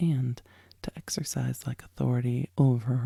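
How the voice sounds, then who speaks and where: A soft-spoken woman's very deep, low voice with vocal fry, a dark, mellow tone and ordinary pitch variation, in a dry, close sound with no echo. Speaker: lawyer and legal commentator, podcast host. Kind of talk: ASMR sleep story reading of a legal text. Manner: soft-spoken, slow, calming.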